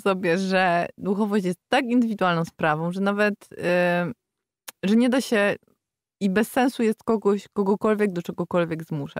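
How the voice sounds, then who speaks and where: Recorded very cleanly with a silent background and a dry, close sound with no echo, a woman with an ordinary speaking voice talks at medium pitch and a moderate pace with lively intonation. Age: 30s. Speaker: yoga teacher. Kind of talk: casual chat.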